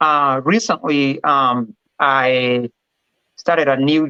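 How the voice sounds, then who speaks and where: With a Kenyan accent, a man talks at a medium pitch with ordinary pitch variation, his tone bright and sharp and the sound dry and close with no echo. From Kenya, Kiambu County. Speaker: respiratory therapy director. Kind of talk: interview. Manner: confident.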